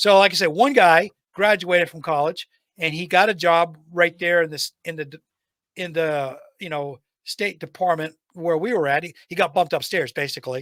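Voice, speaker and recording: In a dry, close recording with no echo, a man with a high pitch speaks at a moderate pace, with ordinary pitch variation and big swings in loudness. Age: 60s. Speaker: retired IT technician and trainer, podcast guest. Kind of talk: casual chat.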